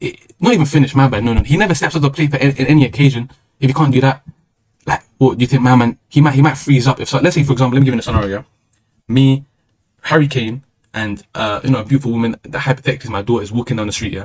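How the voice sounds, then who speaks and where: A man with a London accent, somewhat breathy, medium in pitch with ordinary variation, at a very fast pace. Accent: London multicultural English. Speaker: streamer. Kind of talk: casual monologue.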